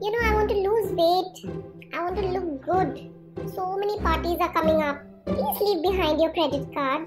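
A female-sounding cartoonish character voice at an extremely high pitch speaks at a moderate pace over clear music in the background. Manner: bubbly, chatty.

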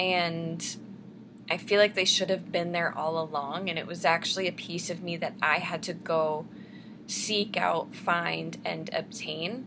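Amid noticeable background noise, a woman speaks at a fairly slow pace and a fairly low pitch, her tone bright and sharp and her intonation fairly even. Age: 20s. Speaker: vlogger. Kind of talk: casual vlog monologue. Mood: calm, personal storytelling. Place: home room. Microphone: webcam.

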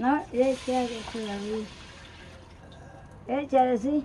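A woman with a high voice speaks very slowly and with fairly even intonation, with light background noise behind her. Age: 80s+. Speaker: rural home cook. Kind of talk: casual talk while cooking. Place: kitchen. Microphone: phone near.

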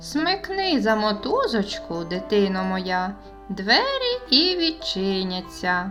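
A female-sounding, put-on character voice speaks at a fairly slow pace. Clear music plays in the background.

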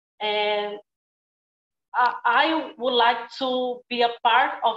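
The speaker has a Brazilian accent. Audible room echo surrounds the voice. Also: woman. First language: Portuguese. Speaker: actor; film actor. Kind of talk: panel Q&A. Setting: video call. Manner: halting. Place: home room. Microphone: earbuds.

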